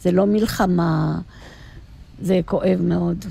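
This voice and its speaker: A woman speaks very slowly at a medium pitch. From Egypt. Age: old. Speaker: retired teacher. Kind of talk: casual chat.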